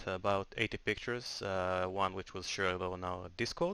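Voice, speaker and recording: A man with a non-native accent, bright and sharp in tone, ordinary pitch variation, moderate pace, on a very clean recording with a silent background. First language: not English. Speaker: software tool developer. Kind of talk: tutorial. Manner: hesitant, many filler sounds.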